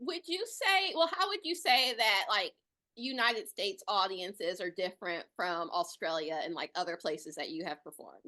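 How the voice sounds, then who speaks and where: A woman with an American accent, fairly high in pitch, bright and sharp in tone, at a moderate pace with very wide pitch swings. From Detroit, US. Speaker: interviewer. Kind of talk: interview.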